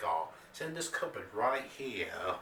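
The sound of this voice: With audible room echo around him, a man speaks at medium pitch in a bright, sharp tone.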